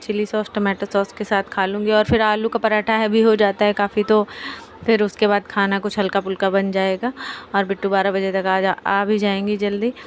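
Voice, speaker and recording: Monotone, flat intonation at a moderate pace, over noticeable background noise. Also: woman. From India, Kanpur (Uttar Pradesh). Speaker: family vlogger. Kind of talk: casual vlog talk. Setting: at home, kitchen. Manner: blunt, outspoken.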